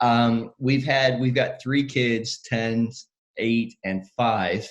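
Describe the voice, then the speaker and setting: A man speaks at a very slow pace. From Northern Ireland then Canada. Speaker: pastor and charity representative. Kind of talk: casual interview chat.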